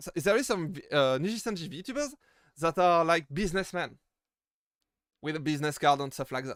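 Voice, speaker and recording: Fairly quick speech from a man with a strong French accent and a high pitch, lively in intonation yet broken by long, frequent pauses, in a dry, close sound with no echo. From France. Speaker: VTuber streamer. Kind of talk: live stream Q&A. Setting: live stream. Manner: halting, many fillers and repeated words.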